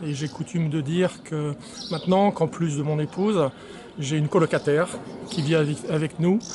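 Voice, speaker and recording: Over noticeable background noise, the speaker goes at a moderate pace with fairly even intonation and long, frequent pauses. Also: man, fairly high pitch for a man. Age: 50s. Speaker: patient. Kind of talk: testimony.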